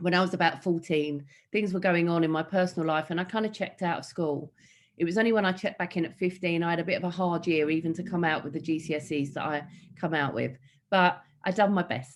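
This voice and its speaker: Speaking very fast, a woman talks in an East London accent. Her pitch is fairly low and her intonation fairly even. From East London, Hackney. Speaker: motivational speaker and entrepreneur. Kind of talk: keynote talk. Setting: online event.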